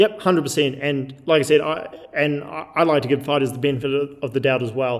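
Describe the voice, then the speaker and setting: A man with a normal speaking voice, fairly high in pitch, with fairly even intonation. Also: fairly quick pace. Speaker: combat sports show host. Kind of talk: casual debate.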